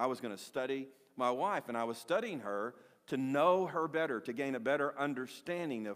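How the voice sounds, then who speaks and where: Here is a man with a normal speaking voice, pitched at a medium level for a man. He talks at a moderate pace with lively intonation over a quiet background. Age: 60s. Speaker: pastor. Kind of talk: sermon. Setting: church. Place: church.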